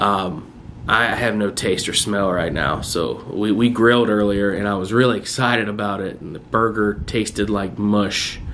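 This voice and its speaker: There is noticeable background noise and audible room echo. A man with a fairly low pitch speaks at a moderate pace with fairly even intonation. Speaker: vlogger. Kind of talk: personal video diary. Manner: hesitant, many fillers; loud.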